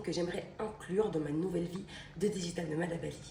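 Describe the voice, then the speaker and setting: A woman speaks with fairly even intonation. There is noticeable background noise and audible room echo. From Belgium. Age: 20s. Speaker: travel vlogger. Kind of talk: vlog. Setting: outdoors.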